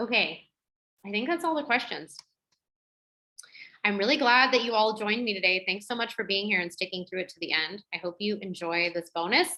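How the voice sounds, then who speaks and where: Pausing long and often, a woman talks at a fairly quick pace and medium pitch, with lively intonation and a bright, sharp tone. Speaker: women's health educator. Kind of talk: webinar Q&A. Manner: fast.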